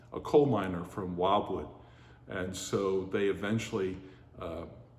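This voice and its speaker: Speaking fairly slowly in a fairly low voice with fairly even intonation, a man with an American accent is heard with audible room echo. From western Pennsylvania, Pittsburgh area. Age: 60s. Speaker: oral history narrator. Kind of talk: oral history interview. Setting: heritage center museum. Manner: hesitant, many fillers.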